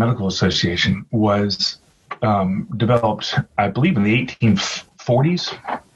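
Somewhat breathy, the man's voice unfolds at a fairly slow pace. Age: 40s. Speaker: podcast host. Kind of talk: casual chat.

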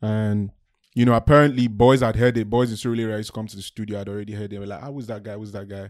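A man speaks at a very fast pace with fairly low pitch and fairly even intonation. His loudness swings widely, and the recording is very clean with a silent background. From Nigeria. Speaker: musical artist and songwriter. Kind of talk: casual interview chat.

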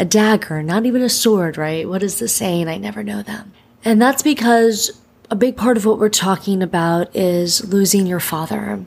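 Using an ordinary speaking voice, the woman keeps to a medium pitch, a moderate pace and ordinary pitch variation. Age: 30s. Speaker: podcast host and breakup coach. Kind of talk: casual podcast monologue and interview.

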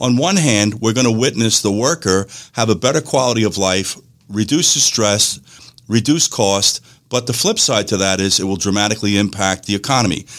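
Ordinary pitch variation marks this moderate-paced speech in a New York accent. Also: man, fairly low pitch for a man. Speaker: radio host. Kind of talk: call-in radio show discussion.

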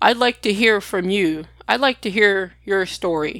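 This is a woman with an unremarkable speaking voice at a medium pitch and ordinary pitch variation. The recording is very clean, with a silent background. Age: 40s. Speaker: podcast host sharing her illness story. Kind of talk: personal storytelling monologue.

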